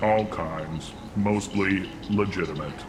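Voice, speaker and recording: Over loud background noise, a man puts on a character voice, speaking at a very deep, low pitch and a fairly slow pace. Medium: short film. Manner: prefaces lines with emotion labels.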